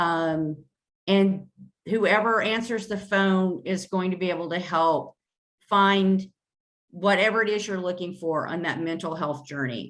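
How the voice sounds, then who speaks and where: In a normal speaking voice, a woman talks at a fairly slow pace and medium pitch with ordinary pitch variation. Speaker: mental health coordinator. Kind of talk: presentation.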